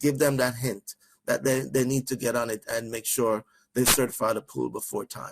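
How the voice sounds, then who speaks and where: A man talks with a Jamaican accent. His pace is fairly quick. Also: dry, close sound with no echo. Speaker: trainer. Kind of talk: training webinar. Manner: fast.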